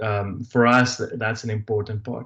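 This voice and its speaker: A somewhat breathy voice in an American accent, with fairly even intonation, a moderate pace and a quiet background. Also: man. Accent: South African with slight Texas twang. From South Africa. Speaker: business presenter. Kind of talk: webinar presentation. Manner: halting, many fillers.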